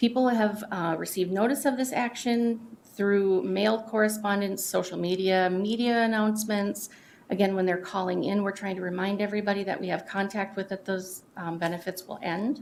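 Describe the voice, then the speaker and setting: The woman talks at a medium pitch with fairly even intonation. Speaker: county staff presenter. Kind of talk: public meeting presentation. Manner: fast.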